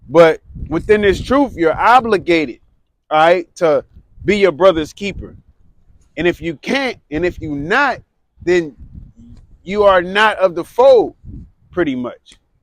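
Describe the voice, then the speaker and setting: Loud and high-pitched, a man speaks at a fairly slow pace with lively intonation and long, frequent pauses, captured in a dry, close sound with no echo. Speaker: street preacher. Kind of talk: street preaching.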